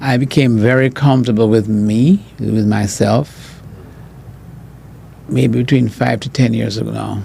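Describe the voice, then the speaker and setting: A man speaks very slowly at a medium pitch, with ordinary pitch variation. Noticeable background noise runs underneath. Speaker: professor. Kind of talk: interview. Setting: podcast. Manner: halting.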